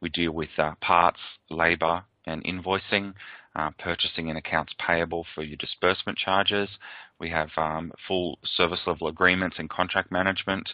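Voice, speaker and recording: With an Australian accent, a man speaks at a very deep, low pitch. His delivery is monotone and flat, at a moderate pace. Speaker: software presenter. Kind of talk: product webinar presentation. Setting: webcast. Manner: hesitant, many fillers.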